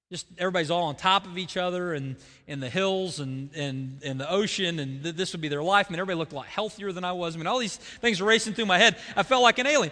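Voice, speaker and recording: A man talks at a very fast pace in an Oklahoma accent, his pitch high and his intonation lively. His tone is bright and sharp. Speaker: pastor. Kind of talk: sermon. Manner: halting.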